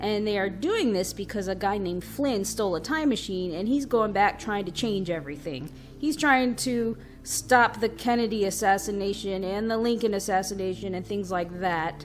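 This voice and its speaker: A woman's medium-pitched voice with ordinary pitch variation and hardly any pauses, over music in the background. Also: moderate pace. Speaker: podcast host. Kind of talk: solo vlog commentary.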